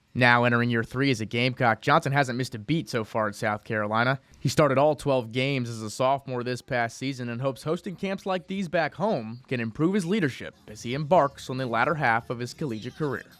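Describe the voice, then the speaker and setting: Very fast speech with hardly any pauses and ordinary pitch variation, in a very clean recording with a silent background. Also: man, medium pitch for a man. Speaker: sports reporter. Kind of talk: news reading.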